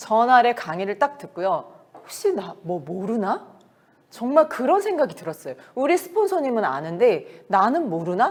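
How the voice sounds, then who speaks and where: The speaker sounds animated, moving at a fairly slow pace with very wide pitch swings. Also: woman, fairly high pitch for a woman. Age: 50s. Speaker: network marketing business leader. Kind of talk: motivational business talk. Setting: meeting.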